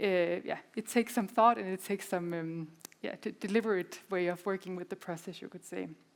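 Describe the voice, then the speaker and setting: A woman with a medium pitch speaks at a fairly quick pace, with ordinary pitch variation and big swings in loudness. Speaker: postdoctoral researcher presenting at a conference. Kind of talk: conference presentation. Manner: fast.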